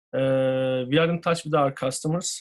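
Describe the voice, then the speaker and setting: A man's fairly high voice with a Turkish accent, at a moderate pace and with ordinary pitch variation. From Turkey. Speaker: business owner. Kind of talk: interview. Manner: halting, many fillers.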